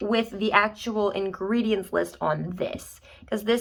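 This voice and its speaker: In a very clean recording with a silent background, a normal speaking voice carries ordinary pitch variation. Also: woman. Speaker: product review YouTuber. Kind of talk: casual product review. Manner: chatty.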